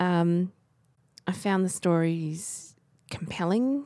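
On a very clean recording with a silent background, a woman with an Australian accent speaks very slowly in a dark, mellow tone. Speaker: library podcast co-host. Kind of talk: casual book discussion.

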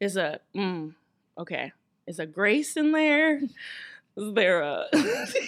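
Very wide pitch swings from a woman at a fairly high pitch, at a very slow pace. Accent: American. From US South, Atlanta, Georgia. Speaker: musical theatre actress. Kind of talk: casual chat.

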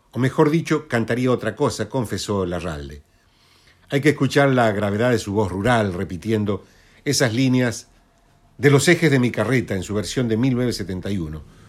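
A man's medium-pitched voice at a moderate pace, an ordinary speaking voice with lively intonation, on a very clean recording with a silent background. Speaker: radio host. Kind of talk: radio presentation.

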